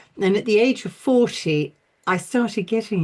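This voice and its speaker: A woman's dark, mellow tone with lively intonation. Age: 70s. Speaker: energy medicine teacher. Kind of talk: tutorial. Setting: live video class. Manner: animated.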